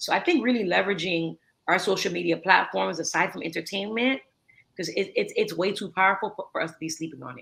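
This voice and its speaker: A woman with an American accent talks very fast at a medium pitch, animated and with lively intonation, big swings in loudness and vocal fry. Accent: thick American accent when speaking Creole. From US, North Miami (Haitian-American). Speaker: entrepreneur in waste management. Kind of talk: interview conversation. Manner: animated, repetitive fillers.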